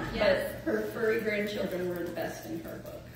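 A woman at a moderate pace amid loud background noise and audible room echo. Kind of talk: eulogy speech. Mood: warm, fond, lightly humorous. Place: church. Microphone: camera far.

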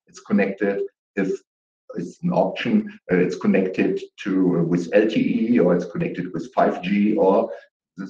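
Low-pitched and dark, with a mellow tone, a man speaks at a fairly slow pace. Audible room echo surrounds the voice.

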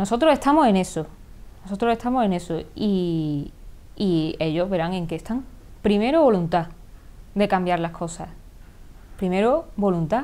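Speaking at a moderate pace with long, frequent pauses, a woman has a dark, mellow tone at medium pitch and very wide pitch swings. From Córdoba province, Andalusia, Spain. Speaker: politician. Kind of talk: interview answer. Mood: firm, critical, assertive. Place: studio. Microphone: lapel.

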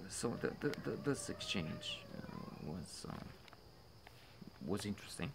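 A man speaks at a fairly slow pace. Noticeable background noise can be heard. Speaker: film commentator. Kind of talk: commentary. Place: garden. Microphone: phone near.

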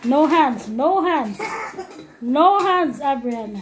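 The pace is very slow as a woman talks. Noticeable background noise runs underneath. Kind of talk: encouraging commentary. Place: home room. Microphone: phone near.

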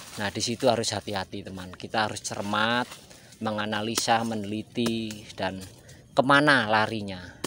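A man talks with fairly even intonation at a fairly low pitch, in a plain, everyday voice. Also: moderate pace. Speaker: agarwood farmer. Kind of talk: vlog tutorial.

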